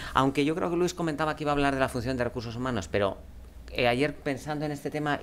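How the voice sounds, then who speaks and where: A man at a fairly high pitch, very fast in pace, with ordinary pitch variation. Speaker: business executive. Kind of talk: conference talk. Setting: stage with audience. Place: meeting room. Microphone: podium.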